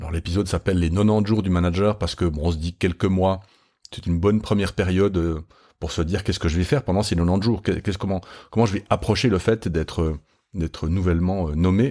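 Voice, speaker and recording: A man talks very fast in a very deep, low voice with a dark, mellow tone. His intonation stays fairly even, and the recording is very clean with a silent background. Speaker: leadership podcast host and trainer. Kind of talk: podcast monologue. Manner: hesitant, many fillers.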